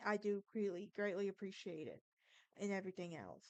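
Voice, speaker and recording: At a fairly quick pace, a woman of medium pitch talks in a Southern US accent with ordinary rises and falls in pitch. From Alabama, US South. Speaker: podcast host. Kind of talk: casual monologue; informal storytelling on history and folklore. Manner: halting, with false starts.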